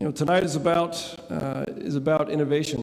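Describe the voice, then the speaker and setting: In an American accent, a man talks at a moderate pace with ordinary pitch variation, with audible room echo and noticeable background noise. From United States. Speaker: defense industry representative. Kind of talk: award ceremony speech. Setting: stage at gala with audience.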